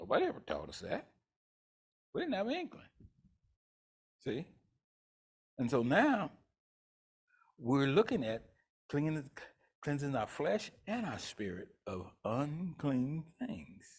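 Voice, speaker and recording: A man with a Southern US accent speaks slowly in a somewhat breathy, animated tone, his pitch swinging very widely between long, frequent pauses. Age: 70s. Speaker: pastor. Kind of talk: sermon.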